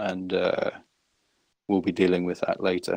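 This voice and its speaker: The man here speaks at a fairly slow pace. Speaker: team leader and stream co-host. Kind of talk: casual chat.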